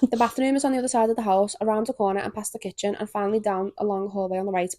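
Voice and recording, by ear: A woman talks at a very fast pace in a dark, mellow tone. Her intonation is fairly even. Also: medium pitch for a woman.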